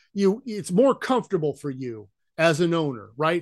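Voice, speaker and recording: An ordinary speaking voice from a man with an American accent, at a moderate pace against a quiet background. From Idaho, US. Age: 50s. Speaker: retired engineer and vacation rental owner. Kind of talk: casual interview.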